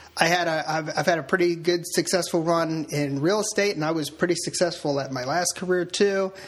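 This man's voice is high, and his intonation stays fairly even. He talks fairly quickly with hardly any pauses over noticeable background noise. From Delaware. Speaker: author and real estate agent. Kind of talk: casual interview.

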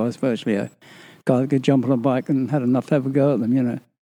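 With a dark, mellow tone, a man speaks at a medium pitch with ordinary pitch variation. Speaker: retired stuntman. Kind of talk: interview.

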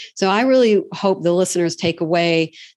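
Over a quiet background, a woman with a fairly low pitch speaks at a moderate pace with ordinary pitch variation in a plain, everyday voice. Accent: American. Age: 50s. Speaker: franchise consultant. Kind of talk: interview.

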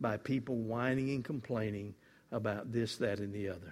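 In a very clean recording with a silent background, a man with a Southern US accent speaks with ordinary pitch variation. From US South, Mississippi. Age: 70s. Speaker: guest preacher. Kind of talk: sermon. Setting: church.

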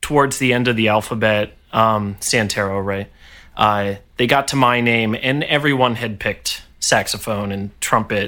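In an American accent, a man with a bright, sharp tone speaks at a fairly slow pace with fairly even intonation. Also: very clean recording, silent background. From upstate New York, Poughkeepsie area. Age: 30s. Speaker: orchestral trombonist. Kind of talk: casual interview chat. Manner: halting, many fillers and repetitions.

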